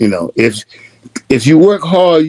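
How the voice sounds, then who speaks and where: A man with an American accent speaks at a fairly slow pace in a dark, mellow tone. His pitch swings very widely, and the sound is dry and close with no echo. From US South, North Florida. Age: 70s. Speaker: retired mechanic and educator. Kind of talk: interview.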